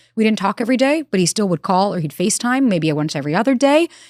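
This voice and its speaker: A woman with a New York accent, animated and very fast with lively intonation, in a dry, close sound with no echo and a very clean recording with a silent background. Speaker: relationship expert. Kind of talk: interview.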